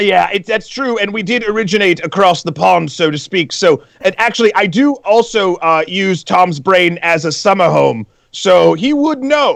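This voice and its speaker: A man with a slight British accent speaks at a high pitch with lively intonation. He keeps a moderate pace with hardly any pauses. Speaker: show DJ and co-host. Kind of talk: casual chat.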